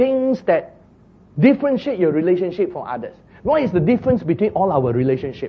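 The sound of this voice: This man speaks at a moderate pace with a slightly husky edge and big pitch swings.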